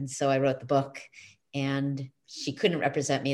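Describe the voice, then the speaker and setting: A woman with an American accent at a very fast pace. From US Northeast. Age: 50s. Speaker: author and positive psychology coach. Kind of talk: interview.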